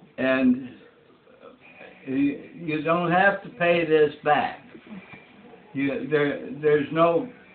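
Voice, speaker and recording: A man with an American accent, fairly high pitch and lively intonation, at a very slow pace with long, frequent pauses, over noticeable background noise. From Michigan, Kalamazoo. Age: 80s+. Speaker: retired engineer and designer. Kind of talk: interview answers. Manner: halting, repeating words.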